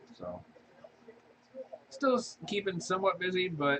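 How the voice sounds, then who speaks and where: A soft-spoken, mumbling man at a moderate pace, with very wide pitch swings. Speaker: crafting video creator. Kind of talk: casual crafting tutorial chat. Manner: mumbling, soft-spoken.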